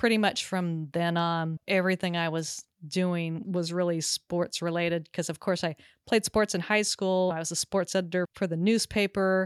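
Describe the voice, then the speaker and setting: A woman's unremarkable speaking voice in an American accent, fairly low in pitch, moderate in pace and fairly even in intonation, with dry, close sound, no echo and a very clean recording over a silent background. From Southern California. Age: 50s. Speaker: pickleball podcaster and sports psychologist. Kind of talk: interview.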